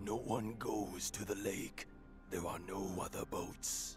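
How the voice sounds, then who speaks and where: A man puts on a character voice with a fairly low pitch at a fairly slow pace. Loud music plays in the background. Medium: video game. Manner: grave, brooding.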